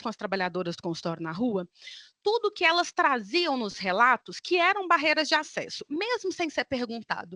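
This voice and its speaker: A woman speaks in a raised, projected voice at a moderate pace, her high-pitched, bright, sharp tone swinging very widely in pitch, with a dry, close sound free of echo over a quiet background. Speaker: academic researcher. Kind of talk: conference talk.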